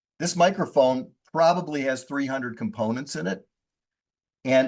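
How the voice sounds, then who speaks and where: A man speaks in a normal speaking voice at medium pitch. His pace is moderate, and the background is quiet. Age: 60s. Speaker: real estate investor. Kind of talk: podcast interview.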